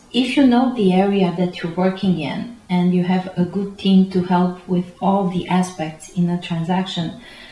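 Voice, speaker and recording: Over noticeable background noise, the speaker talks at a moderate pace with fairly even intonation and hardly any pauses. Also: woman, medium pitch for a woman. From Romania. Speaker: real estate agent. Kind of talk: interview. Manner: halting.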